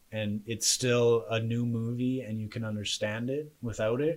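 A man talks at a moderate pace in a medium pitch. He has an unremarkable speaking voice. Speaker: podcast host. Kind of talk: casual banter debate show. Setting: home spare bedroom studio, livestreamed.

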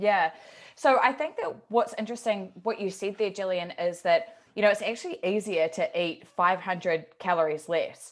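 A woman's unremarkable speaking voice, medium in pitch, with ordinary pitch variation at a moderate pace. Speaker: podcast co-host and coach. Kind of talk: casual chat.

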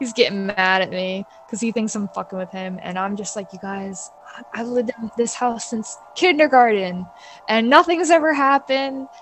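A woman with an American accent talks, her pitch rising and falling very widely. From New York, Bayside, Queens. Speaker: illustrator and freelance artist. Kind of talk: casual storytelling interview.

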